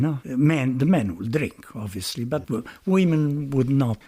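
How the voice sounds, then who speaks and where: A man with a Romanian accent is heard in a very clean recording with a silent background. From Romania, Transylvania. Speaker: retired lecturer in Italian. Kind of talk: interview answer.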